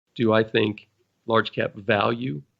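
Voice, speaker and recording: A man talks with vocal fry. His pitch moves with ordinary variation. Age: 60s. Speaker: financial advisor. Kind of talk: podcast Q&A explanation.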